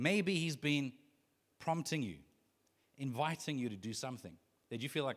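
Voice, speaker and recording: An animated voice with vocal fry and lively intonation moves at a moderate pace, broken by long, frequent pauses. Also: man. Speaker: pastor. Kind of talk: sermon.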